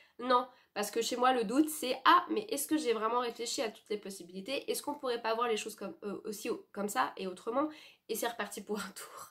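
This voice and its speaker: At a fairly quick pace, a woman speaks in a high pitch with lively intonation. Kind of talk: personal reflection monologue. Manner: fast; halting, many fillers and self-corrections.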